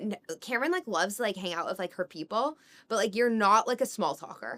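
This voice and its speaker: The voice carries a strong Californian accent. Its tone is bright and sharp. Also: woman. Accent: California accent, strong. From Northern California. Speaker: podcast co-host. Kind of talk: casual chat. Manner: casual, filler-heavy.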